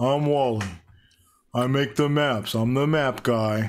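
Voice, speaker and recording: In a very clean recording with a silent background, a man puts on a character voice at medium pitch and a fairly slow pace. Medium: actual play. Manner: simple, plainspoken.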